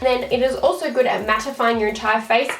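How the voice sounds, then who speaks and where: Music plays in the background while a woman with an Australian accent speaks at a fairly high pitch. Her intonation is fairly even, with audible room echo. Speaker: beauty vlogger. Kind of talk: tutorial. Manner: fast; casual.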